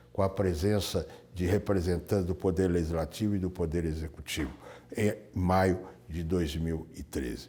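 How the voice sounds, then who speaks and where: With a dark, mellow tone and very deep, low pitch, a man speaks at a moderate pace with fairly even intonation. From Minas Gerais, Brazil. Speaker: retired high court judge. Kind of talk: oral history interview answer.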